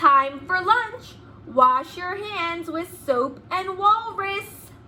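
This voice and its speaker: A woman speaks in a put-on character voice at an extremely high pitch. She talks very slowly. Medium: read story. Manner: cheerful, matter-of-fact.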